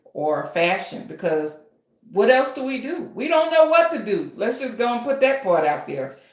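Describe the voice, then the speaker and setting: A woman sounds animated, her pitch swinging very widely. Audible room echo surrounds her voice. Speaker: author and writing coach. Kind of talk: live stream tutorial. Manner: loud.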